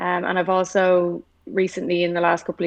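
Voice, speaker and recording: The speaker is a woman with a fairly low voice. She talks at a fairly quick pace. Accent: Irish. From Ireland. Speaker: motorsport engineer and hockey player. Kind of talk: casual chat.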